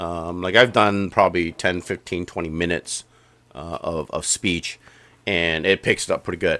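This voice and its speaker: In a very clean recording with a silent background, the voice has a bright, sharp tone and a moderate pace. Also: man. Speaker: software tutorial YouTuber. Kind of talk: screen-recorded tutorial. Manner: casual, many fillers and restarts.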